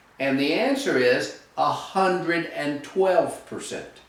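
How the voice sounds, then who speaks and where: A man speaks with lively intonation at a fairly high pitch. Background noise is noticeable, and the room echo is audible. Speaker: real estate instructor. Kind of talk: tutorial.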